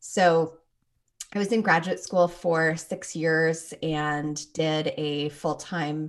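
A woman speaks with a Canadian accent and a very deep, low pitch. The background is quiet. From Toronto, Canada. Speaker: clinical psychologist and sex therapist. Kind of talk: interview.

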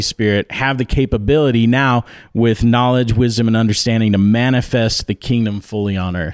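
Using an ordinary speaking voice, a man speaks at a fairly quick pace and medium pitch with ordinary pitch variation. The sound is dry and close with no echo, on a very clean recording with a silent background. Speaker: conference organizer. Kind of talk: casual chat.

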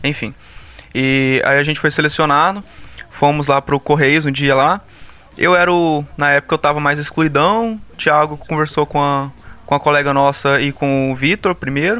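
A man with a fairly high pitch talks in a bright, sharp tone at very even loudness. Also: ordinary pitch variation, moderate pace. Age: 20s. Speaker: pharmacy student. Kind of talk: casual chat.

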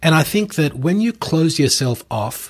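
Somewhat breathy, a man with an Australian accent makes very wide pitch swings in a very clean recording with a silent background. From Australia (Melbourne). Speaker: podcast host and commercial real estate coach. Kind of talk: solo podcast monologue.

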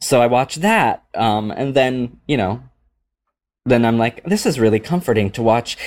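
Using a normal speaking voice, a man with an American accent talks at a fairly slow pace and medium pitch with ordinary pitch variation. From US Pacific Northwest (small town in Washington). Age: 30s. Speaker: comedic actor and cabaret performer. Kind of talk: casual interview chat. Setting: remote call from home.

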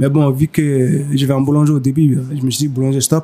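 A man's fairly high voice at a fairly quick pace, over noticeable background noise. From Mali. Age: 30s. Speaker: pastry chef. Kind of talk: interview. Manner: halting.

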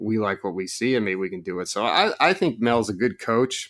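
On a very clean recording, against a silent background, a man's voice is heard. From Oregon. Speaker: recruiting analyst. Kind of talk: casual chat.

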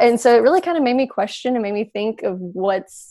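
A woman with a dark, mellow tone speaks with lively intonation over a quiet background. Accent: Southern US. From Alabama. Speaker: agricultural communicator. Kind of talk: casual chat.

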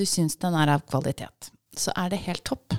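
On a very clean recording with a silent background, a woman speaks at a moderate pace with a dry, close sound and no echo. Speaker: podcast host interviewing guest. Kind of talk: casual interview chat. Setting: studio.

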